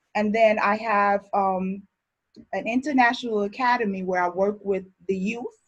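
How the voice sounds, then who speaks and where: A somewhat breathy woman with a fairly high pitch at a fairly slow pace. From born in Barbados, grew up in Brooklyn, New York. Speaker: chef instructor. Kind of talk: online class introduction.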